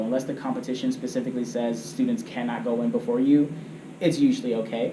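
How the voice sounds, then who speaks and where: This man talks at a very fast pace with very wide pitch swings over noticeable background noise. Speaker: debate coach. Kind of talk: training lecture. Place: meeting room. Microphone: camera far.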